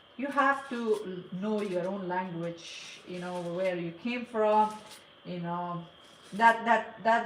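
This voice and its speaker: A woman with a Persian accent at a very slow pace, amid audible room echo and noticeable background noise. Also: big swings in loudness. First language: Farsi. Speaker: cake decorator. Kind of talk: casual live stream chat. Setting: live stream. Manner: halting.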